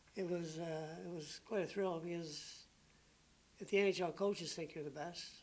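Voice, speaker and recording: Using a Canadian Maritime accent, the speaker moves at a moderate pace with monotone, flat intonation and long, frequent pauses. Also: man. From Maritime Canada. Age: 60s. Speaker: retired professional hockey player. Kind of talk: interview answer.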